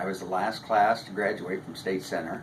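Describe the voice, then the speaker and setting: A man with a Midwestern American accent speaks at a fairly low pitch. Noticeable background noise and audible room echo are present. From US Midwest, Iowa. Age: 70s. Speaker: retired barber, local resident. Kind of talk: oral history interview. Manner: halting.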